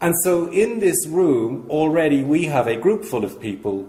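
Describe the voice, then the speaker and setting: With an Irish accent, a man speaks fairly slowly in a dark, mellow tone at a fairly high pitch, with vocal fry, very wide pitch swings and audible room echo. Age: 60s. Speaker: charity speaker. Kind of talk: conference talk.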